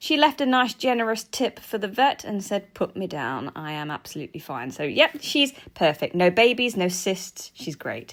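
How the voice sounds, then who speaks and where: A woman's medium-pitched voice with very wide pitch swings, big swings in loudness, a moderate pace and hardly any pauses, on a very clean recording with a silent background. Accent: English. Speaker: guinea pig keeper and vlogger. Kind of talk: vlog narration. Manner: animated.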